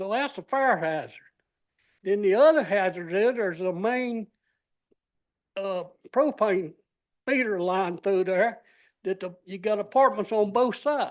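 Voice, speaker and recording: The speaker has a Southern US accent and talks at a fairly slow pace with long, frequent pauses. The background is quiet. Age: 80s+. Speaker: resident speaking at public hearing. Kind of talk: public comment at council meeting. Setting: city council meeting. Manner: halting.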